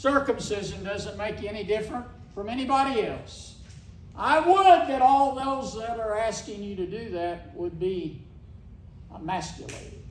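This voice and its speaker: This man has an Ozark accent and a high pitch with very wide swings. He speaks at a moderate pace, with audible room echo. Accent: Ozark Southern US. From Missouri Ozarks. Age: 60s. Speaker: cattle rancher. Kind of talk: speech at a meeting.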